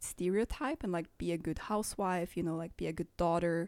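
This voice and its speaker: The recording is very clean with a silent background, and a woman speaks in a dark, mellow tone. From Bali and Switzerland. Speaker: musician and yoga teacher. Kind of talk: casual interview conversation.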